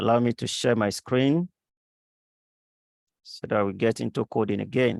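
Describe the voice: A man's fairly low, slightly mellow voice with vocal fry, ordinary pitch variation and a fairly slow pace, in a dry, close sound with no echo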